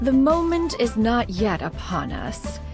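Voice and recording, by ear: A woman does a put-on character voice, fairly high in pitch with big swings up and down. She speaks slowly over faint background music.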